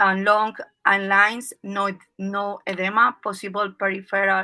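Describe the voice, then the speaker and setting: The voice has a bright, sharp tone and a Spanish accent, moving at a fairly slow pace. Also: woman. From Peru. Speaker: emergency physician. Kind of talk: lecture. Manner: halting.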